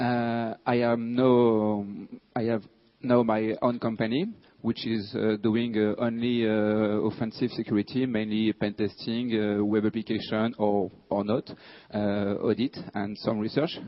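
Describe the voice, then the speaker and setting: A man with a French accent talks at a fairly slow pace. His intonation is monotone and flat. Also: medium pitch for a man. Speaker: security researcher. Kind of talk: conference talk. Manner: halting, many fillers.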